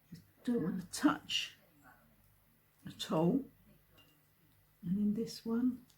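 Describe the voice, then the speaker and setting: A woman speaks very slowly with lively intonation, long and frequent pauses, and a somewhat breathy quality. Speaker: card maker. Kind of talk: craft tutorial talk to camera.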